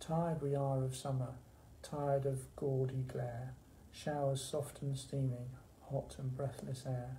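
A man speaks at a fairly slow pace. His intonation is monotone and flat, with light background noise. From England. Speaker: library staff member hosting poetry session. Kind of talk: poetry reading, performed verse read aloud in a warm library chat. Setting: library video session. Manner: measured, rhythmic, expressive reading; friendly, conversational. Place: office. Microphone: phone near.

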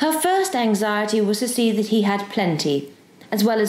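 The delivery is plain reading aloud.

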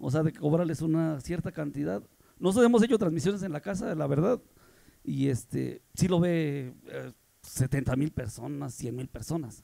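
Speaking at a moderate pace, a man uses lively intonation in a fairly high voice with a dark, mellow tone. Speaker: sound system technician. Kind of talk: casual interview. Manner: halting.

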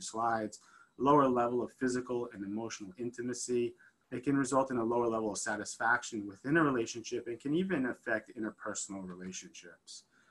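Moving at a very fast pace, a man speaks with ordinary pitch variation. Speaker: physician lecturer. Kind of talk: lecture. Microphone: video call.

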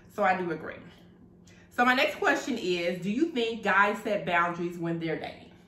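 A woman talks at a moderate pace with lively intonation. Room echo is audible. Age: 30s. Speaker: video blogger. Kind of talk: casual chat. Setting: at home over wine. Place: home room. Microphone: camera far.

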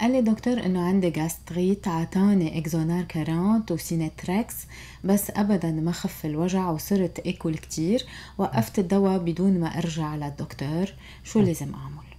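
A woman talks at a moderate pace with a dark, mellow tone. Her pitch sits fairly low and varies in an ordinary way. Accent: Lebanese. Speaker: radio host. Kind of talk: radio interview, health talk. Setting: radio studio.

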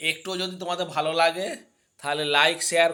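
A man's fairly high voice with a bright, sharp tone and fairly even intonation. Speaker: vlogger. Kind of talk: casual vlog talk to camera. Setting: filming in front of a mirror. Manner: halting.

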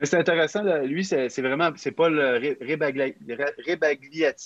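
A man with a Quebec accent speaks at a very slow pace with ordinary pitch variation over a quiet background. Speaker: youth podcast facilitator. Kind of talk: casual chat. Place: home room. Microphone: video call.

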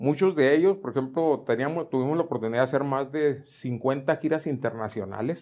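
Speaking at a fairly quick pace with hardly any pauses, a man uses an unremarkable speaking voice, fairly high in pitch with ordinary pitch variation, against a quiet background. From Mexico. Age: 60s. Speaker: retired school choir director; guest. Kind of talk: interview. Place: home room. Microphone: lapel.

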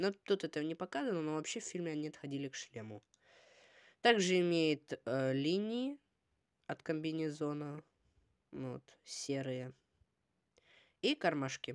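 The pace is fairly slow, with long, frequent pauses and lively intonation. The sound is dry with no echo, and the background is quiet. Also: woman, very deep, low pitch for a woman. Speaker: toy review video blogger; toy set reviewer. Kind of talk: product review. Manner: casual, hesitant with filler sounds. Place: home room. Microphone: phone near.

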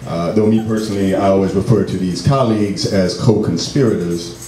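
Music plays in the background as a man speaks at a fairly low pitch with ordinary pitch variation, with audible room echo. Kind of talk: spoken word performance. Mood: wry, political, impassioned. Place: stage.

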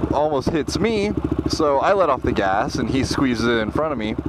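A man at a moderate pace, dry sound with no echo, amid loud background noise. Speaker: motovlogger rider. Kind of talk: casual vlog chat. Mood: annoyed, ranting. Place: motorbike.

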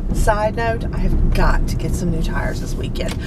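Loud background noise surrounds this woman's voice. There is no echo, so the sound is dry. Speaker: vlogger. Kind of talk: casual vlog chat. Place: car. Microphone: phone near.

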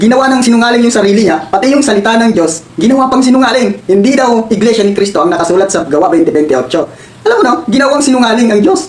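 Very fast speech with hardly any pauses, over noticeable background noise. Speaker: religious reaction vlogger. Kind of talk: reaction video commentary. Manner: conversational, frequent fillers.

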